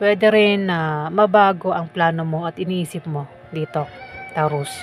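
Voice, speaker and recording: A woman's fairly low voice at a fairly slow pace, with ordinary pitch variation and music in the background. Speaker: tarot reader. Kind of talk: tarot reading. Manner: casual, conversational. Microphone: mic far from mouth, no echo.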